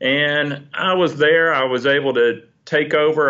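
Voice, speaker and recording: A man with a plain, everyday voice, fairly even intonation and a fairly slow pace. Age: 50s. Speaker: ophthalmologist. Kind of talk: casual interview.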